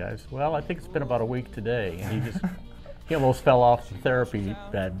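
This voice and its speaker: A man with a medium-pitched voice speaks very fast over faint music in the background. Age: 60s. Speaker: knee replacement patient. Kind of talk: patient testimonial. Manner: casual, hesitant. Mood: pleased, upbeat. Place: hall.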